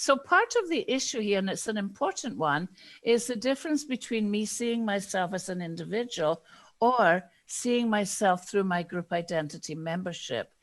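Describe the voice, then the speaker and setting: A woman with a Scottish accent speaks at a moderate pace and a medium pitch with lively intonation. The recording is very clean, with a silent background. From Scotland. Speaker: diversity and inclusion consultant. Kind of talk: interview.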